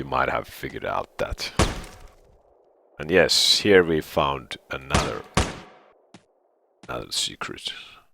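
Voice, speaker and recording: A man talks fairly slowly and pauses often and at length. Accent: Finnish. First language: Finnish. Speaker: gaming video creator. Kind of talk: live gameplay commentary. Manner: halting.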